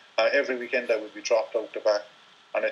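Speaking here is a man with an Irish accent. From Ireland. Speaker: ultra-distance cyclist. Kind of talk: interview. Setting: phone call. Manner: halting.

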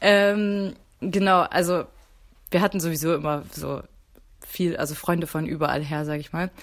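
A woman speaks at a moderate pace in a fairly low pitch, her intonation fairly even, with long, frequent pauses. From Mecklenburg, northern Germany. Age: 20s. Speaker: university student, convert to Islam. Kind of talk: casual chat.

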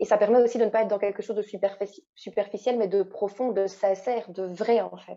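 A woman's fairly high voice with a Belgian accent, monotone, flat intonation, and a fairly quick pace. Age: 20s. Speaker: naturopath and coach. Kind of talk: casual interview.

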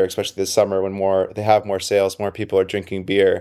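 A man with a fairly low pitch and a dark, mellow tone at a very fast pace, on a very clean recording with a silent background. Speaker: senior reporter. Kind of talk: casual discussion.

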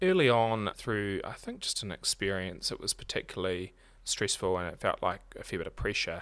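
On a very clean recording with a silent background, a man with a New Zealand accent talks at a moderate pace. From New Zealand, Marlborough. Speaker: accounting firm director. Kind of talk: interview.

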